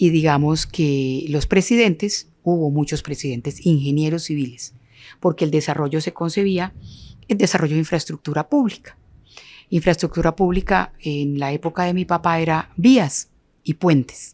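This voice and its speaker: In a very clean recording with a silent background, a woman with a very deep, low pitch talks at a moderate pace with ordinary pitch variation. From Colombia, Norte de Santander (Ocaña); raised largely in Quindío. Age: 70s. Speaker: architect and urban planner. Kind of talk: interview conversation.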